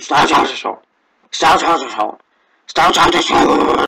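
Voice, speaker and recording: A man puts on a raspy character voice at a high pitch. He speaks at a fairly slow pace. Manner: muffled, mouth full of marbles.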